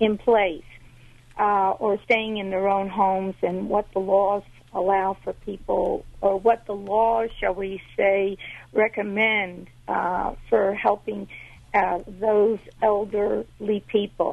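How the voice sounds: A woman speaks slowly at a medium pitch, with little pitch movement and vocal fry.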